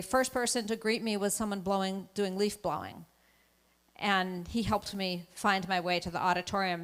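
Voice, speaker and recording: The speaker has an American accent and keeps a moderate pace. Their intonation stays fairly even. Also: woman. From Massachusetts. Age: 60s. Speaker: anti-racism speaker. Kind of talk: keynote talk. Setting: auditorium with audience.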